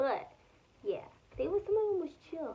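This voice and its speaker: A woman talks at a moderate pace in a dark, mellow tone. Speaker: vlogger. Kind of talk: casual vlog storytelling. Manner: casual, lots of filler words.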